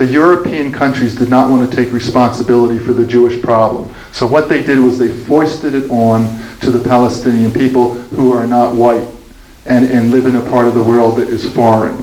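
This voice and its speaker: Amid noticeable background noise and audible room echo, the speaker, who has an American accent, talks fairly quickly in a flat monotone at very even loudness. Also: man, medium pitch for a man. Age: 70s. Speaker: author and speaker on Israel-Palestine. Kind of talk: Q&A after a talk. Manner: halting, with many restarts.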